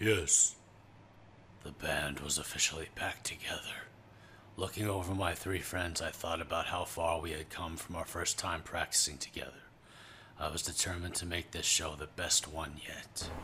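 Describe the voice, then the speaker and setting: Using a put-on character voice, a man speaks at a moderate pace in a raspy, very deep, low pitch. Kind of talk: reflective voice-over. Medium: cartoon.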